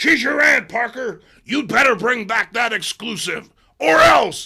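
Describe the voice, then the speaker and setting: A man's raspy, put-on character voice, extremely high-pitched, fairly slow, with lively intonation. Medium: read story. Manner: loud, blustering.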